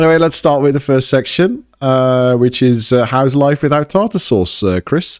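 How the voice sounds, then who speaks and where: Hardly pausing, a man with an English accent speaks at a moderate pace in a fairly high voice with lively intonation. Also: very even loudness. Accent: English accent, learned in England. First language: Dutch. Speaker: podcast host. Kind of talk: casual chat. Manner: halting, many fillers and restarts.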